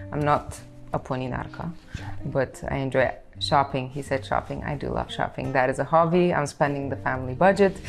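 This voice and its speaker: A woman's very deep, low voice with ordinary pitch variation at a fairly quick pace, music playing behind it. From Bulgaria, Plovdiv. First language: Bulgarian. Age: 20s. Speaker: pianist. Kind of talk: casual interview chat.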